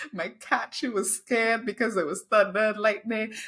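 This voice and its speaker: In a Trinidadian accent, a woman talks at a fairly high pitch on a very clean recording with a silent background. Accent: noticeable Trinidadian. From Trinidad, then UK from age 12. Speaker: diversity, equity and inclusion consultant and copywriter. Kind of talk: interview conversation.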